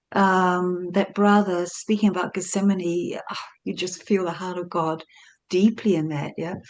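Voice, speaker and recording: In a quiet background, a woman speaks fairly slowly at a medium pitch, her intonation monotone and flat. Her loudness swings widely. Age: old. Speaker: church member. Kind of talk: testimony. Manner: halting.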